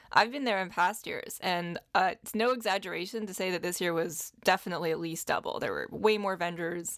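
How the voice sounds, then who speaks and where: A woman with a normal speaking voice at medium pitch, ordinary pitch variation and a fairly quick pace, hardly any pauses, on a very clean recording with a silent background. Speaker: animal lawyer and podcast co-host. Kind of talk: casual conversation on legal topics.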